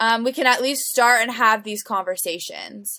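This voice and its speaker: At a moderate pace, a woman speaks with a fairly high pitch. Her tone is bright and sharp, and her intonation stays fairly even. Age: 20s. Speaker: nonprofit network coordinator. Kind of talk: casual chat. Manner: halting.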